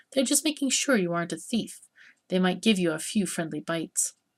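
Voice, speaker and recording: A woman uses a put-on character voice at a medium pitch. Her pitch swings very widely. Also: fairly quick pace. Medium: game stream.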